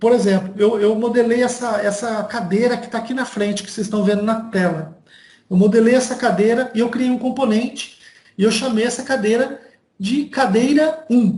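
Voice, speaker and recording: Amid audible room echo, a man speaks at an extremely high pitch and a moderate pace, his intonation fairly even. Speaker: university lecturer. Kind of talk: online lecture. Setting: video call from home.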